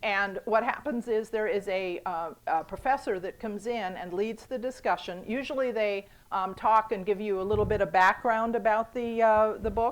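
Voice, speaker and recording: In a very clean recording with a silent background, a woman speaks with hardly any pauses in a fairly high voice with ordinary pitch variation. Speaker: museum director. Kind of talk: talk to a club. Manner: fast; hesitant, many fillers.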